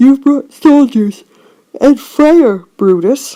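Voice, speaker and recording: Using a put-on character voice, a woman speaks in a high pitch. Her pace is very slow. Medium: read story. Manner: grave, formal.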